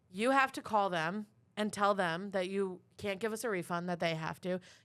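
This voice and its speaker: In a very clean recording with a silent background, a woman with an American accent speaks at a medium pitch. Her tone is animated, with ordinary pitch variation. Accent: Long Island, stronger when angry. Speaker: comedian, podcast co-host. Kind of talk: casual chat, storytelling.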